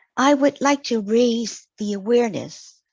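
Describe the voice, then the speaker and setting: A woman with a non-native accent speaks at a fairly high pitch, somewhat breathy. The sound is dry and close with no echo. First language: not English. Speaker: mature student presenting thesis. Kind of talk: scripted presentation. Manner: formal.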